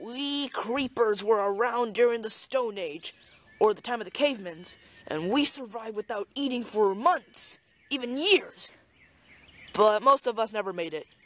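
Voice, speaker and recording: A female-sounding, put-on character voice at a fairly high pitch delivers its lines at a moderate pace. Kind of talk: comic overacting. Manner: whiny, stubborn.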